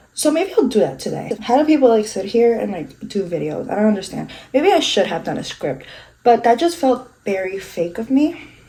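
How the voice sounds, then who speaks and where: Speaking at a fairly quick pace, a woman with fairly high pitch and a dark, mellow tone makes very wide pitch swings, with vocal fry throughout. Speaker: beauty vlogger. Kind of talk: casual chat. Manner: fast; stumbling over words.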